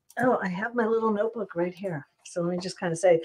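A woman talks at a fast pace with ordinary pitch variation. Her tone is slightly mellow, with a slightly husky edge. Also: medium pitch for a woman.

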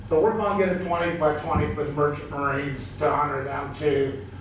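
Light background noise and audible room echo around a man's voice. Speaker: member of the public addressing council. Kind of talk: public comment speech. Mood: friendly, lightly humorous. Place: hall.

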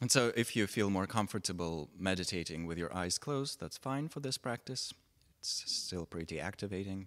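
A man talks in a normal speaking voice at a fairly low pitch and a moderate pace. The recording is very clean with a silent background. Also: lively intonation. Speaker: meditation teacher. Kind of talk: guided meditation. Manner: gentle, measured, with long pauses.

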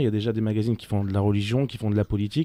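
Over a quiet background, a man with a dark, mellow tone speaks at a very fast pace, the sound dry with no echo. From France, Nice; France. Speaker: magazine founder; radio guest. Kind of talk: radio interview. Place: studio. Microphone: studio mic.

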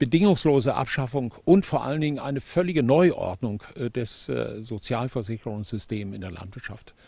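A man's somewhat breathy voice, dark and mellow in tone, comes at a moderate pace with lively intonation and big swings in loudness, in a dry sound with no echo. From Germany. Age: 70s. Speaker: farmer. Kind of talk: interview. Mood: earnest, critical of policy. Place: open country. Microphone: handheld.

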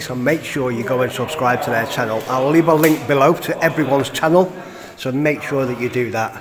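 A man's pitch varies in an ordinary way as he talks at a fairly quick pace against noticeable background noise. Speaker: urban explorer vlogger. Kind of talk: casual vlog chat. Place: church. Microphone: phone near.

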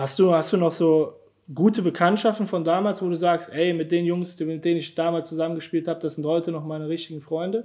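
A man's fairly high voice at a fairly quick pace, few pauses, little pitch movement and a slightly mellow tone.

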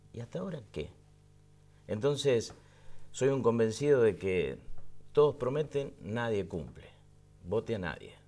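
A man with a dark, mellow tone and vocal fry speaks fairly slowly at a medium pitch, his intonation lively, with long, frequent pauses. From Argentina. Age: 50s. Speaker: interview guest. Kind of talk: casual chat. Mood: relaxed, reflective. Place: studio.

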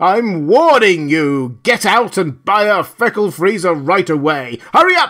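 Shouting in a raised, projected voice, a man uses a put-on character voice pitched high, at a fairly slow pace. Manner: enraged, screaming.

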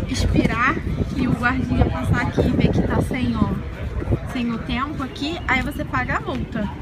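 Loud background noise surrounds a woman whose speech is fairly slow. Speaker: travel vlogger. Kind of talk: casual vlog chat. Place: street. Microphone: phone near.

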